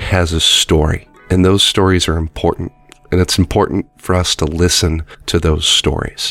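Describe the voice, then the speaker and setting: A man with a very deep, low voice speaks at a moderate pace in a monotone, flat way. His loudness stays very even against noticeable background noise. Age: 30s. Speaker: games journalist. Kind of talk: interview.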